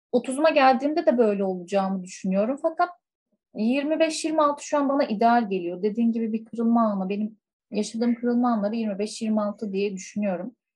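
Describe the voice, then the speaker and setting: At a moderate pace, a woman with a plain, everyday voice speaks at a fairly high pitch with lively intonation. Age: 20s. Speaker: school counselor. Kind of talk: casual chat.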